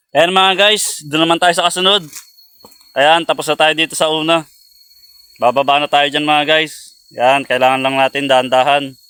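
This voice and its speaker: A man with a fairly high pitch talks at a moderate pace in a plain, everyday voice, with very even loudness and fairly even intonation. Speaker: vlogger. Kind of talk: outdoor vlog narration. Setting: outdoors in a forest. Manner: casual, repetitive filler.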